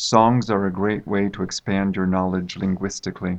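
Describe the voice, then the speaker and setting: An unremarkable speaking voice with an American accent moves at a moderate pace with fairly even intonation over a quiet background. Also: man. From United States. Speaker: university English teacher. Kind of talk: interview. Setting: studio.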